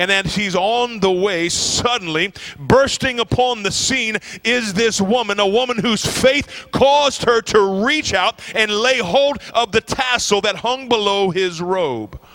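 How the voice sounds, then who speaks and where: A man speaks at a fairly slow pace in a high voice with a warm, animated tone and ordinary pitch variation, over noticeable background noise. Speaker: visiting preacher. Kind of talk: sermon. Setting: church. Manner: animated, call-and-response, urging the congregation to shout amen; warm, fervent, building in intensity.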